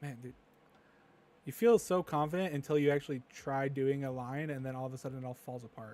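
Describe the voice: A man speaks at a fairly quick pace. His tone is slightly mellow. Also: medium pitch for a man, fairly even intonation.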